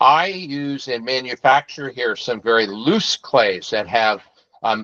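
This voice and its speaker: A plain, everyday voice from a man, medium in pitch and fairly slow, in a dry, close sound with no echo. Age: 60s. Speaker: pottery studio owner. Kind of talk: info session presentation. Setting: video call.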